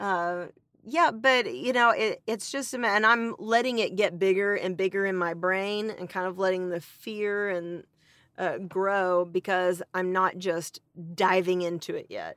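The very clean recording, with a silent background, captures a woman with an American accent at a medium pitch and ordinary pitch variation. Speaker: special education teacher and podcast co-host. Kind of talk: casual chat. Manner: animated.

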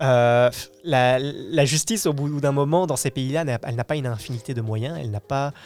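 A plain, everyday voice at a moderate pace. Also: man. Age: 20s. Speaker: youth radio participant. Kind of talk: casual debate.

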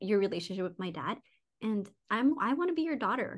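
Against a quiet background, a woman talks at a fairly quick pace with a fairly high pitch and lively intonation. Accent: American. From US, Mexican American family. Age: 30s. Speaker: corporate executive and new mother. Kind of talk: casual chat. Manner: halting, many fillers.

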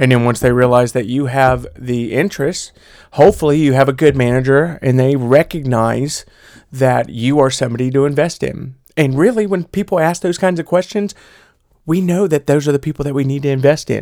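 A man with an American accent and an ordinary speaking voice talks at a fairly quick pace in a fairly high pitch, on a very clean recording with a silent background. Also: ordinary pitch variation. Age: 30s. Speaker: podcast host. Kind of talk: casual chat. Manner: casual, joking.

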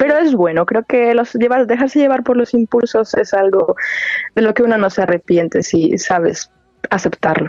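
A woman's fairly high voice at a moderate pace, lively in intonation, a normal speaking voice. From Mexico, La Piedad, Michoacán. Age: 20s. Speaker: singing student. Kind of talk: interview. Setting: phone call.

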